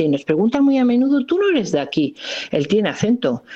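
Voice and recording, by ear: Big pitch swings run through a woman's dark, mellow tone.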